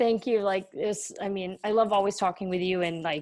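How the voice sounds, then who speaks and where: A woman's normal speaking voice in an American accent, with fairly even intonation at a moderate pace. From US. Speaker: content creator and photographer. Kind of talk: casual interview chat.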